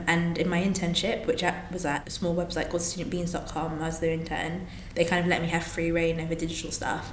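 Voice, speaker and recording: A woman with a London accent speaks very fast at a fairly low pitch. Audible room echo and noticeable background noise are present. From London, England. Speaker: social media manager and children's author. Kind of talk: interview.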